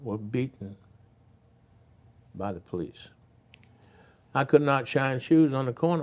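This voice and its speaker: A man with an Alabama accent speaks with big swings in loudness. He leaves long, frequent pauses. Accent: Southern US (Alabama). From US South, Birmingham, Alabama. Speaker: former state representative and civil rights veteran. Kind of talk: interview.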